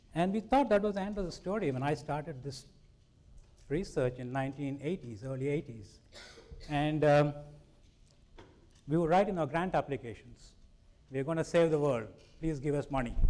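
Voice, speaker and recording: Speaking with an Indian accent at a moderate pace, a man has a dark, mellow, fairly high voice with ordinary pitch variation and long, frequent pauses. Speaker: scientist. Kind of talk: public lecture.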